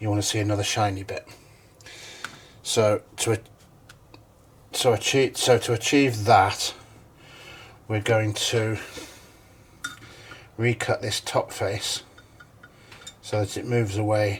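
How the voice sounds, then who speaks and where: Mumbling from a man at fairly low pitch, with monotone, flat intonation, a fairly slow pace and long, frequent pauses. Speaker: hobby machinist. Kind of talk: tutorial. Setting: home workshop. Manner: halting.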